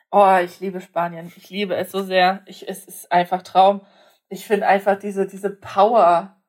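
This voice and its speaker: Her loudness swings widely as a woman speaks at medium pitch and a moderate pace. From Germany, partly raised in Poland. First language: Polish (speaking German). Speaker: podcast co-host. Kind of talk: casual chat. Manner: animated.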